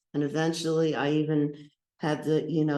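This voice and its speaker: With an American accent, a man with a fairly high voice talks at a fairly quick pace. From New Jersey, Atlantic City. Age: 70s. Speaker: astrologer and lawyer. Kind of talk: talk at a spiritual service. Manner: halting, with repetitions.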